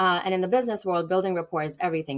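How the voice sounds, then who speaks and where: At a very fast pace, a woman talks with an American accent. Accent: Indian accent, now sounds largely American. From India. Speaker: business owner. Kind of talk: podcast interview. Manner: halting, many fillers.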